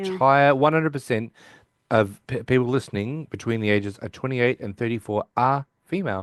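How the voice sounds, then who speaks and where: Over a quiet background, a man with an Australian accent talks at a fairly quick pace in a medium pitch with ordinary pitch variation, the sound dry and close with no echo. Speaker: podcast host. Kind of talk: casual chat.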